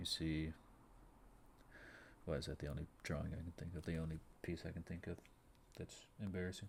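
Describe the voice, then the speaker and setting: A man with a very deep, low pitch speaks at a fairly quick pace in a somewhat breathy voice. His intonation is monotone and flat, with long, frequent pauses. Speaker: amateur artist vlogger. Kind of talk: casual monologue while drawing. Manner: halting, words get jumbled; unscripted, rambling with fillers.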